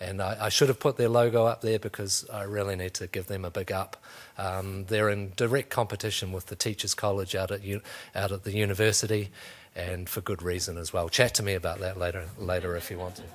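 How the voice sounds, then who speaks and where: A man with a New Zealand accent, fairly low-pitched and fairly quick, on a very clean recording with a silent background. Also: fairly even intonation. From New Zealand, North Canterbury. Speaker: museum education officer. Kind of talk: career talk to students. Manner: hesitant, many fillers.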